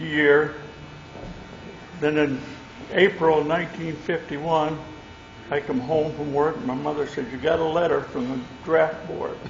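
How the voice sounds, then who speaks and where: Amid noticeable background noise and audible room echo, a man with an American accent talks at a fairly slow pace and a fairly high pitch. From Michigan, US Midwest. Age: 90s. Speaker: war veteran. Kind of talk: testimony. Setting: stage with audience.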